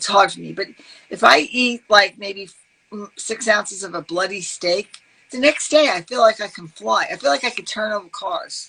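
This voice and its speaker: The speaker has a New York accent and lively intonation. The pace is moderate, with big swings in loudness. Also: woman, medium pitch for a woman. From New York, Brooklyn. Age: 60s. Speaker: health advocate. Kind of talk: podcast interview. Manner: animated.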